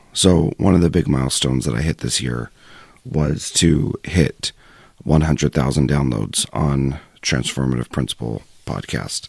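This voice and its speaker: Speech comes at a moderate pace with noticeable background noise, and the sound is dry and close with no echo. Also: man, very deep, low pitch for a man, ordinary pitch variation. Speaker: podcast host. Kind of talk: solo podcast monologue.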